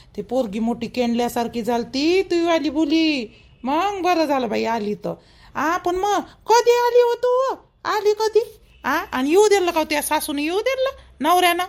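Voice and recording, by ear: A woman's extremely high, cartoonish character voice, fairly slow, with few pauses and lively intonation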